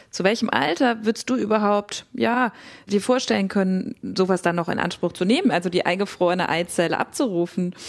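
A woman with an ordinary speaking voice, medium pitch, ordinary pitch variation and a fairly quick pace. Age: 30s. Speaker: psychotherapist, co-host. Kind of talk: casual conversation.

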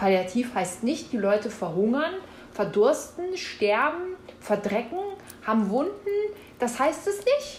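Over noticeable background noise and audible room echo, a woman with a high pitch speaks at a very slow pace, swinging her pitch very widely and leaving long, frequent pauses. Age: 40s. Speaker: former health office employee, whistleblower. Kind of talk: interview.

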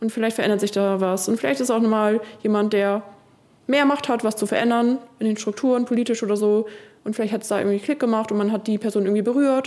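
At a very fast pace, a woman with a fairly high pitch speaks with very even loudness and fairly even intonation. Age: 30s. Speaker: contemporary dancer. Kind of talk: casual chat.

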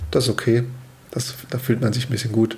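A man talks at a moderate pace, his intonation fairly even, with noticeable background noise throughout. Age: 30s. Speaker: father of two, commuter. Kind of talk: casual chat.

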